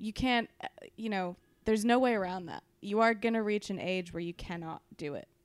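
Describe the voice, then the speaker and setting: With ordinary pitch variation and big swings in loudness, a woman at medium pitch speaks at a fairly quick pace. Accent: Californian. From California. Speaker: stand-in co-host. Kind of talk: casual chat.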